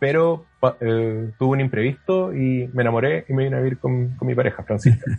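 At a fairly quick pace, a man talks at a medium pitch with ordinary pitch variation over noticeable background noise. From southern Chile (Puerto Williams, Puerto Montt). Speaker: astronomy PhD student. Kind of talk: casual interview. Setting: remote call.

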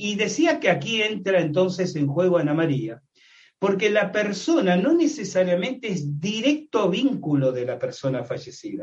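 At a fairly slow pace, a man speaks with a high pitch and very wide pitch swings. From Argentina. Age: 60s. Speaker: paranormal researcher and writer. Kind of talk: interview with explanatory lecturing.

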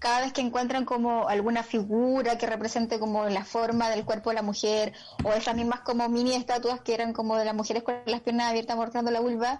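The delivery is fairly quick. It is a plain, everyday voice. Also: woman. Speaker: comedian. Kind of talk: casual chat.

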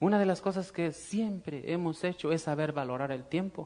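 A man talks at a fairly slow pace in a fairly high pitch. His tone is dark and mellow, with ordinary pitch variation. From Mexico, Guanajuato. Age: 30s. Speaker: network marketing business speaker. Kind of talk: motivational seminar talk. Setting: stage with audience.

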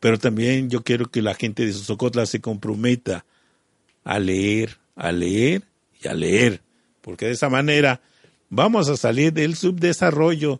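A man with a plain, everyday voice at medium pitch talks fairly slowly with lively intonation, in a dry, close sound with no echo. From Mexico, Morelos. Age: 50s. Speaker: local businessman and community activist. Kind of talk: radio interview. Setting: community radio studio.

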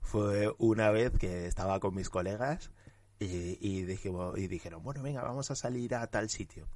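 The background is quiet. A man delivers his words at a moderate speed. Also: ordinary pitch variation. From Spain, Huesca (Aragon). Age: 20s. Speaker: journalist and anti-racism activist. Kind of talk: interview.

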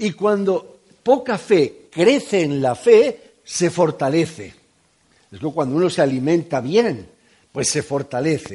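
Speaking at a very slow pace, a man with a high pitch and a dark, mellow tone makes very wide pitch swings and big swings in loudness. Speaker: preacher. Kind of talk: sermon.

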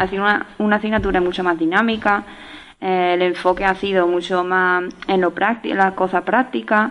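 The pace is moderate and the intonation fairly even, with noticeable background noise behind the voice. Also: woman. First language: English and French (speaking Spanish). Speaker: master's student. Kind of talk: radio interview. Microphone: too far from microphone.

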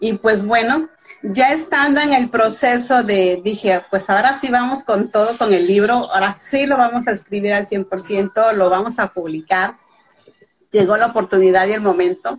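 A woman with a Mexican accent speaks at a moderate pace in a fairly high pitch, with ordinary pitch variation. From Veracruz, Mexico. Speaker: author. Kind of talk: casual chat. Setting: Instagram live video.

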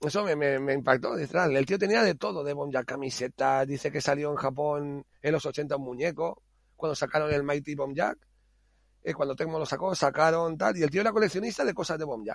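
A man with an unremarkable speaking voice talks at a fairly quick pace, his fairly high pitch rising and falling in an ordinary way. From Spain, Alicante (Monóvar). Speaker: home care worker and hobbyist game developer. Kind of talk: casual interview.

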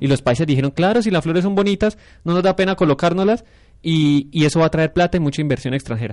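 A man with a high pitch speaks at a very fast pace with ordinary pitch variation. His loudness stays very even, and the sound is dry and close with no echo. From Colombia, Santander (San Gil). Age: 20s. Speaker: university student and council candidate. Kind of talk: radio panel discussion.

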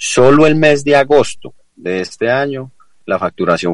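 The speaker talks at a fairly slow pace. Their pitch swings very widely. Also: man. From Colombia, Risaralda (La Celia). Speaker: business association executive. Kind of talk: radio interview. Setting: remote call into radio studio. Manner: halting, repetitive fillers.

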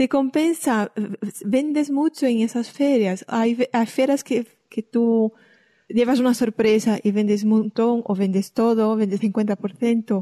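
A woman with a Brazilian accent talks at a very slow pace and fairly high pitch in a dark, mellow tone. Her loudness stays very even, and the sound is dry and close with no echo. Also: ordinary pitch variation. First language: Portuguese (speaking Spanish). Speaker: podcast host. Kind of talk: interview.

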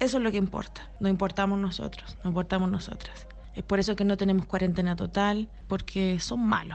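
A woman talks with a Chilean accent. Her pace is fairly quick. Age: 30s. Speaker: clown. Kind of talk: interview answers. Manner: halting.

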